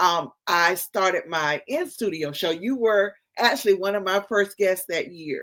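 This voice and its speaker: In a North Carolina accent, a woman speaks at a fairly slow pace. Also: medium pitch for a woman, ordinary pitch variation. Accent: Southern, North Carolina. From US South, North Carolina. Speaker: podcast host and publisher. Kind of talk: interview conversation.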